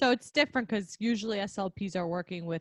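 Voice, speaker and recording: Someone with a New York accent speaks at a fairly quick pace, with a dry, close sound with no echo and a quiet background. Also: woman. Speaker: podcast host, speech-language pathologist. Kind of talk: casual chat.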